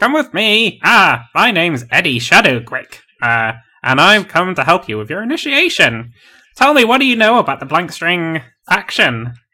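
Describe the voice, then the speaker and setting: A man speaks at a moderate pace in a put-on character voice, high-pitched, with very wide swings in pitch. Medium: actual play. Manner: cheery, hearty, laughs at his own jokes.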